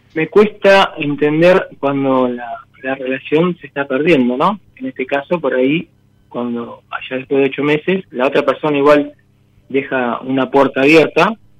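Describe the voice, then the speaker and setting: A man talks fairly slowly at a fairly high pitch with ordinary pitch variation. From Olavarría, Buenos Aires province, Argentina. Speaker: radio caller seeking advice. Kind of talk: personal testimony on call-in show. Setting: phone call. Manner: halting.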